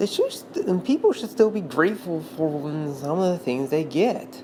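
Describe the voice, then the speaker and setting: Noticeable background noise runs under this recording. A woman speaks in a fairly low pitch. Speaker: video commentator. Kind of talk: unscripted monologue. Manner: halting, stuttering.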